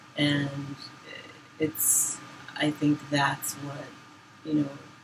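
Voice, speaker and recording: With an American accent, a woman speaks in a very deep, low pitch and flat, monotone intonation amid noticeable background noise. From Boston area, Massachusetts. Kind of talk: casual chat.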